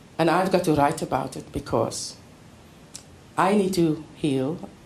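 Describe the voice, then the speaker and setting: A woman talks at a fairly slow pace amid audible room echo. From South Africa, Western Cape. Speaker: poet. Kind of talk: poetry reading and lecture.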